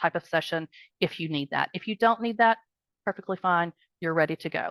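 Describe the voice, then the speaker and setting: The voice moves at a very fast pace with a dry, close sound with no echo. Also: woman, quiet background. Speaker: practice management trainer. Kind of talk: online group training. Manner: rambling, conversational.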